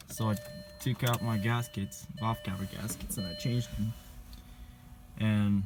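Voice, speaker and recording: Pausing long and often, a man speaks at a fairly slow pace with ordinary pitch variation. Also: fairly low pitch for a man. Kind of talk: casual talk to camera.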